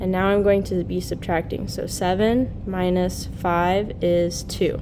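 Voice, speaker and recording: A woman speaks in a monotone, flat way at a medium pitch and fairly slow pace, with audible room echo and noticeable background noise. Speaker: teacher. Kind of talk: tutorial.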